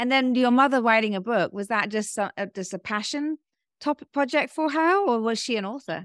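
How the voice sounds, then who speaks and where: In a British accent, a woman speaks at a moderate pace with lively intonation and a fairly high pitch, the sound dry and close with no echo. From England, London. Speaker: podcast host. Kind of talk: interview. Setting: video call.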